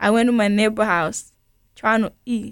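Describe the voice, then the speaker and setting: In a very clean recording with a silent background, a woman with a Burundian accent speaks at a moderate pace in a fairly high voice. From Burundi, grew up in a refugee camp. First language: Kirundi. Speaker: refugee aid worker. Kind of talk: radio interview.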